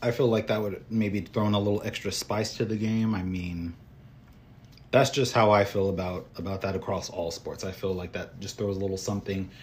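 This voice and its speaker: Fairly low in pitch, a man sounds strained and somewhat breathy, talking at a fairly quick pace with fairly even intonation. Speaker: solo baseball podcast host. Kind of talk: casual solo commentary. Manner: somewhat monotone, restrained.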